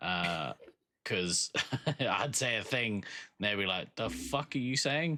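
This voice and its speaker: In a New Zealand accent, a man speaks very slowly with long, frequent pauses, a bright, sharp tone, lively intonation and very even loudness. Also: medium pitch for a man, very clean recording, silent background. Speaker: podcast co-host. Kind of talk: casual chat.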